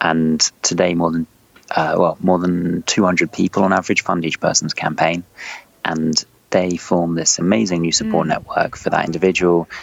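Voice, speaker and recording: A man with a London accent speaks in a very deep, low voice. Noticeable background noise runs behind him. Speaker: startup CEO. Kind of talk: interview.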